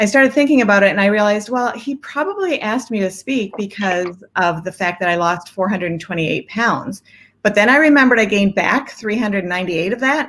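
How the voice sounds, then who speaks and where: A woman's unremarkable speaking voice at medium pitch, with lively intonation and a fairly quick pace. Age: 60s. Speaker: life coach. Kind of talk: testimony. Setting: live stream.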